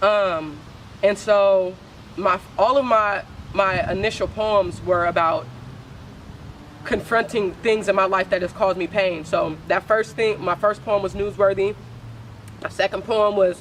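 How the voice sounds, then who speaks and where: A woman's medium-pitched voice at a moderate pace, with fairly even intonation, long, frequent pauses, and noticeable background noise. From San Francisco Bay Area. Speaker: spoken word poet. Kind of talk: interview. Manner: casual, halting.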